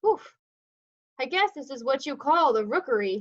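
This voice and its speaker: Putting on a character voice, a woman speaks with a high pitch. Her pace is moderate. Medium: read story.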